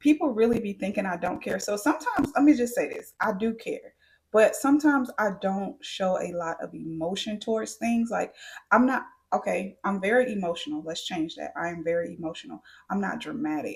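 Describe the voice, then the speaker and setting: Somewhat breathy, the voice moves at a fairly quick pace through very wide pitch swings. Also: woman, fairly high pitch for a woman. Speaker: beauty and lifestyle vlogger. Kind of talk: casual Q&A monologue.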